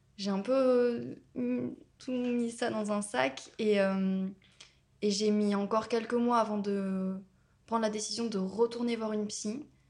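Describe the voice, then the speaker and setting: A woman's fairly high voice at a very slow pace, broken by long, frequent pauses. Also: ordinary pitch variation. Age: 20s. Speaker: student sharing experience of violence. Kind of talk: personal testimony interview. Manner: hesitant, many fillers.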